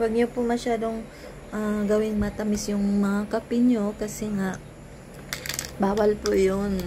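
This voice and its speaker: A soft-spoken woman whispers at a fairly slow pace, with long, frequent pauses and noticeable background noise. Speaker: vlogger selling coffee products. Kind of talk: product review vlog, sales pitch. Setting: bedroom at home. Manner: soft-spoken, near whisper; halting, many restarts.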